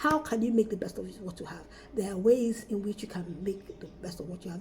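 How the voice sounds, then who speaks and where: Here a woman speaks at a very fast pace. Her pitch is medium, with ordinary variation. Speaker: school marketing trainer, former teacher. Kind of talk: training lecture.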